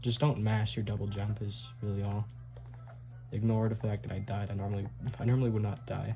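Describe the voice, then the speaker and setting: Somewhat breathy and dark, mellow in tone, a man with a fairly low pitch talks at a fairly quick pace, with ordinary pitch variation and long, frequent pauses. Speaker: speedrunner. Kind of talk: tutorial. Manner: casual.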